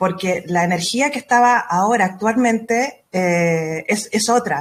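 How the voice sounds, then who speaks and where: At a fairly slow pace, a woman with a medium pitch and a somewhat breathy voice speaks with ordinary pitch variation in a very clean recording with a silent background. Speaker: astrologer. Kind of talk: interview.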